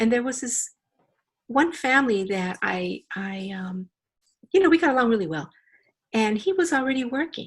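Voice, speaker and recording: A woman with a Spanish accent, high in pitch with very wide pitch swings, at a moderate pace with long, frequent pauses. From Los Angeles, US. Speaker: company founder and CEO. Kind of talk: interview.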